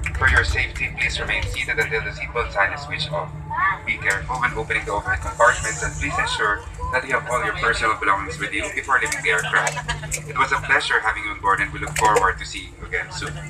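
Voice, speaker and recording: A man talks very fast over loud background noise. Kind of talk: in-flight announcement. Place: plane. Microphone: pa.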